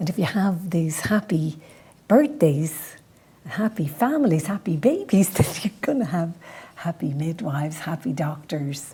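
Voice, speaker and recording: A woman with a Dublin accent speaks at a fairly slow pace in a fairly low pitch, her somewhat breathy voice dark and mellow in tone with lively intonation. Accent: Dublin Irish. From Ireland, Dublin. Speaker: midwife and podcast host. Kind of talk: presentation with Q&A.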